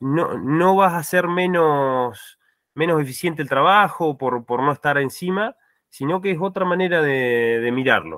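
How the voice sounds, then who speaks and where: A plain, everyday voice at a fairly slow pace with ordinary pitch variation, a dry sound with no echo and a quiet background. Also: man, fairly high pitch for a man. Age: 30s. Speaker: farm agriculture manager; panelist. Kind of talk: online meeting testimony. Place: home room.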